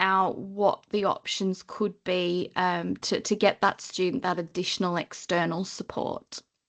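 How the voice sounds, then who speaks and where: A woman speaks in a northern English accent with fairly even intonation. The background is quiet. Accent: northern English, near Liverpool. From northern England, Lake District. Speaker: training compliance consultant. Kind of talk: webinar presentation.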